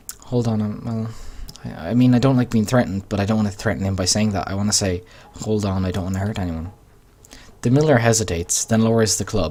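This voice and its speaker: Very fast speech comes from a man with an Irish accent. His fairly low voice has a dark, mellow tone and ordinary pitch variation. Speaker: gaming YouTuber. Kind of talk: let's play commentary with reading aloud. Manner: slurred.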